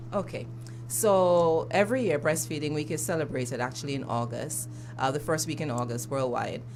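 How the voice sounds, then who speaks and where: Over background music and audible room echo, a woman with an Antiguan accent talks fairly quickly in a very deep, low pitch with ordinary pitch variation. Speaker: breastfeeding advocate. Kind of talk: radio interview. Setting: radio studio.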